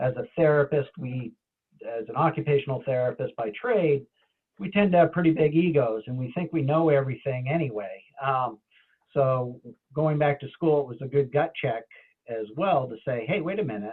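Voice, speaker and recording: A man speaks in a New England accent with a fairly high pitch and ordinary pitch variation. His pace is moderate, and his loudness swings widely. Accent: local New England. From New Hampshire, Claremont area. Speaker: occupational therapist. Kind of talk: panel talk. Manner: halting, many fillers.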